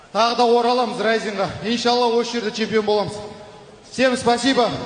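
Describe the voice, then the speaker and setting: In a room with audible echo and noticeable background noise, a man talks at a moderate pace in an extremely high pitch, his intonation monotone and flat. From Kazakhstan. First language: Kazakh (speaking Russian). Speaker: martial arts fighter. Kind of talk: post-fight interview.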